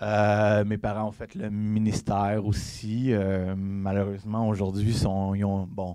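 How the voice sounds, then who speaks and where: In a dark, mellow tone, a man speaks at a very slow pace with hardly any pauses, using a fairly low pitch and monotone, flat intonation. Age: 30s. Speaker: evangelist preacher. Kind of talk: sermon. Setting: church. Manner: halting.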